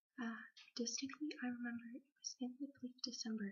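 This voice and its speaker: Soft-spoken, the voice moves at a moderate pace with fairly even intonation. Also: woman. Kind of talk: poetry reading.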